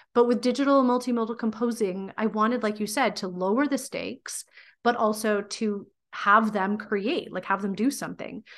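The speaker has a normal speaking voice with fairly even intonation. The pace is moderate. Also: woman, fairly high pitch for a woman. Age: 40s. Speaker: teacher and PhD candidate, podcaster. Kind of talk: interview conversation.

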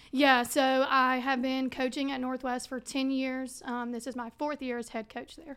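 Monotone, flat intonation at a moderate pace with hardly any pauses. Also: woman, high pitch for a woman. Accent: Mississippi. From Mississippi (Brandon, Flowood area). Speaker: high school soccer coach and teacher. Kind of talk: casual interview.

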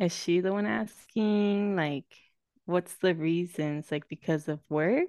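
Very slowly, a woman speaks in a dark, mellow tone with ordinary pitch variation, the sound dry and close with no echo. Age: 20s. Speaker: podcast co-host. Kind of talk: casual chat. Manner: laughs often, chatty.

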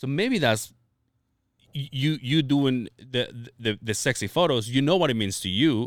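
A man's unremarkable speaking voice at a medium pitch, with ordinary pitch variation and a fairly slow pace, on a very clean recording with a silent background. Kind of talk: casual chat. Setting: studio.

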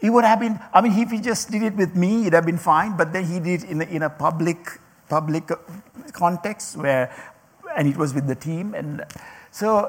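Noticeable background noise sits behind a man with a non-native accent. His voice is high, his pitch variation ordinary, and his pace fairly quick. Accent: non-native accent, mocked by former manager. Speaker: speaker addressing a group. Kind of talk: talk to an audience. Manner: halting, many repetitions and fillers.

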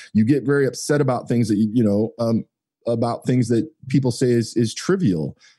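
A man with a dark, mellow tone at a moderate pace. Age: 40s. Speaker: automotive marketing business owner. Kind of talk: casual interview chat.

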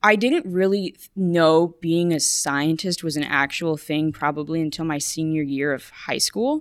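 In a very clean recording with a silent background, a woman with a normal speaking voice and an American accent talks at a fairly slow pace with hardly any pauses, her fairly low pitch showing ordinary variation. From US South, McAllen, Texas border. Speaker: graduate student. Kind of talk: interview.

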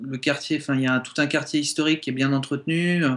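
A man with a fairly high pitch speaks in fairly even intonation, and noticeable background noise runs underneath. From southern France, Montpellier. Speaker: guest. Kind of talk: radio interview.

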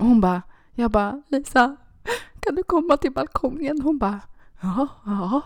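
The intonation is lively at a moderate pace. Long, frequent pauses recur throughout. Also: woman, high pitch for a woman. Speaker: podcast co-host. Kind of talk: casual chat.

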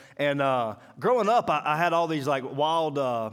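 With a Southern US accent and a fairly high pitch, a man speaks in an animated tone at a moderate pace on a very clean recording with a silent background. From Mississippi. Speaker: preacher. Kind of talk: sermon.

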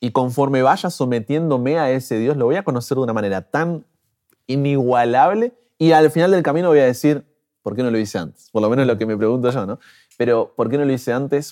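A man with a dark, mellow tone talks at a fairly quick pace, with ordinary pitch variation. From Argentina, Buenos Aires. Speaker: pastor and social media creator. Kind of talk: interview. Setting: in-person interview.

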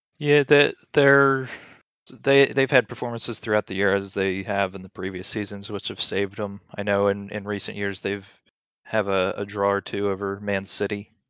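Here a man speaks at a moderate pace in an ordinary speaking voice, with a fairly low pitch and ordinary pitch variation. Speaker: football podcast guest. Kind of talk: casual chat.

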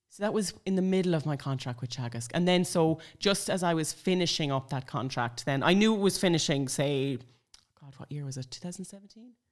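A woman's very deep, low voice with a northwestern Irish accent, lively intonation, big swings in loudness, and a moderate pace, on a very clean recording with a silent background. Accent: Irish (north-west). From Ireland, Sligo. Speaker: blogger and mother. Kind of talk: casual chat. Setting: at home.

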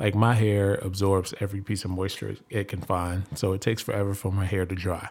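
This man has a dark, mellow tone and a fairly low pitch. He talks at a moderate pace. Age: 30s. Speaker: podcast host. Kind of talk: casual monologue.

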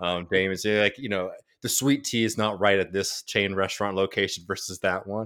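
A man with an American accent speaks at a moderate pace in a plain, everyday voice. His pitch is fairly low, his intonation fairly even, and the recording very clean with a silent background. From Texas, Austin. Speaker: podcaster. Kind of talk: casual chat.

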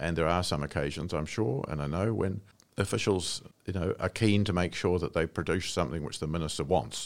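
Here is a man with a New Zealand accent and a very deep, low pitch. The recording is very clean, with a silent background. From New Zealand, Wairarapa. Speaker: retired senior public servant and diplomat. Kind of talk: interview.

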